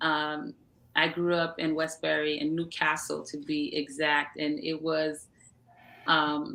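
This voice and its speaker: In a New York accent, a woman speaks at a very slow pace with a very deep, low pitch and monotone, flat intonation. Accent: New York American English. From US Northeast, Long Island, New York. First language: Haitian Creole. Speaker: entrepreneur and media founder. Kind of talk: interview. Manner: halting.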